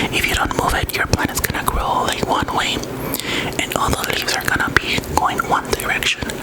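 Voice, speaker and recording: Noticeable background noise behind a whisper. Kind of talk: soft-spoken ASMR plant talk to camera. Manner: soft-spoken, slow.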